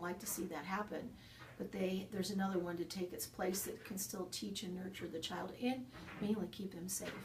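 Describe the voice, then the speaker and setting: Noticeable background noise and audible room echo surround this recording. A woman talks at a moderate pace with a medium pitch. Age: 60s. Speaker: horse farm owner and riding trainer. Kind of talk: interview.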